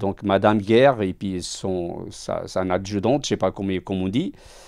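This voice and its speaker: At a moderate pace and with hardly any pauses, a man speaks in a fairly low voice with ordinary pitch variation. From Portugal. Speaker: self-employed worker, hospital patient. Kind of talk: interview testimony. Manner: halting, repeats words.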